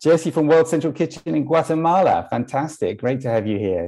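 In a dark, mellow tone, a man talks at a moderate pace with ordinary pitch variation over a quiet background. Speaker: online event host. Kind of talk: event hosting introduction. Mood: warm, upbeat. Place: home room. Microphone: earbuds.

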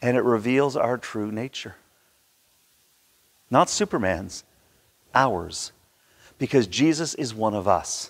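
This man speaks at a fairly slow pace, with a fairly bright tone and a medium pitch.

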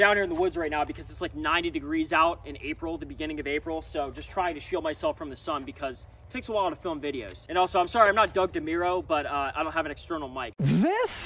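Against light background noise, a man talks at a very fast pace with hardly any pauses. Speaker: truck owner reviewer. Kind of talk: casual vlog chat. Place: forest. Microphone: phone near.

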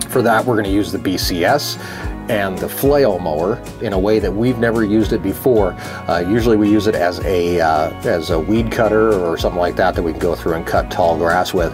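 A man talks fairly quickly with a very deep, low pitch. Clear music plays in the background. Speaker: farmer vlogger. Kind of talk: casual vlog chat. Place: garage. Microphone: phone near.

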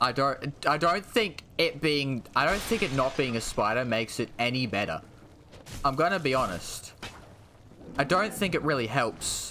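With an Australian accent, a man speaks at a moderate pace with a fairly high pitch and lively intonation. His tone is bright and sharp, his loudness very even, with light background noise. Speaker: gaming streamer. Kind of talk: live gameplay commentary. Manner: animated.

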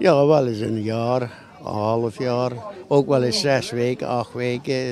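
Over noticeable background noise, a man talks very slowly at a medium pitch with fairly even intonation, the sound dry with no echo. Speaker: passerby interviewed at market. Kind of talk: casual street interview. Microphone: handheld.

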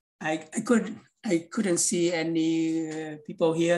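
Very slow speech in a Vietnamese accent. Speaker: English teacher and class organizer; class instructor. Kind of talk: online class. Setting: video call. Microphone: video call.

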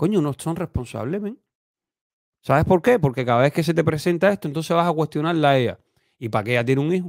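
Animated in tone, a man speaks at a very fast pace and a fairly high pitch over a quiet background, in a dry sound with no echo. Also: lively intonation. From Cuba. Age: 30s. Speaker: YouTube commentator. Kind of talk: opinion monologue. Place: home room. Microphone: studio mic.

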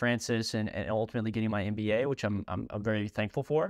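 A man's unremarkable speaking voice at medium pitch with fairly even intonation, dry and close with no echo, on a very clean recording with a silent background. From Kentucky, US. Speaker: professional soccer player. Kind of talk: personal story monologue.

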